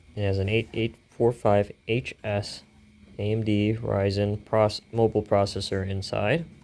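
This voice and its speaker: A man at a fairly low pitch and a fairly slow pace. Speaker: hobbyist tech reviewer. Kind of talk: casual hardware teardown narration. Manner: mumbling at times.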